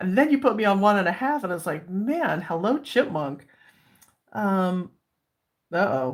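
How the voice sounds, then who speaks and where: A woman's pitch swings very widely. She leaves long, frequent pauses. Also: medium pitch for a woman, moderate pace. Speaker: livestream coloring youtuber. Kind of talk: casual livestream chat. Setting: livestream. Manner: animated.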